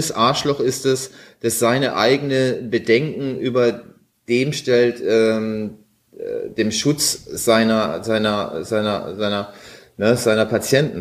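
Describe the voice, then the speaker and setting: Speech comes at a very slow pace. The intonation is fairly even. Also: man, medium pitch for a man. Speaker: internet radio host. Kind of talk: casual chat.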